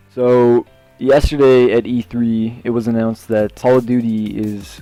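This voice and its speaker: Music plays in the background behind a man at a medium pitch. He keeps a moderate pace and fairly even intonation. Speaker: gaming vlogger. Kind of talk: casual talk to camera. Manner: stutters, many filler words.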